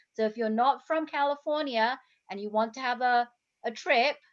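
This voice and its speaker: Speaking at a moderate pace, a woman with an English accent has a high pitch. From England. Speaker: health coach, interview host. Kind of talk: casual interview chat. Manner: animated.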